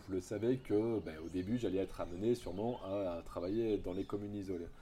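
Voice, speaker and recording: A man speaks at a fairly quick pace in a fairly low pitch with ordinary pitch variation. His tone is dark and mellow, and somewhat breathy. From Bordeaux, southwest France. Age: 30s. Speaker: primary school teacher. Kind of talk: interview testimony. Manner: casual, hesitant with fillers.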